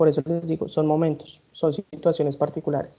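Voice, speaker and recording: A woman talks at a fairly quick pace. Her voice is very deep and low, with a dark, mellow tone. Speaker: law professor. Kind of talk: lecture. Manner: fast.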